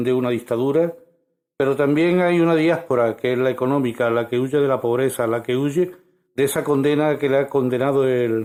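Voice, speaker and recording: This man's tone is dark and mellow, his pitch fairly high. He talks at a moderate pace with ordinary pitch variation. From Spain. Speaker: radio host. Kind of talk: radio interview.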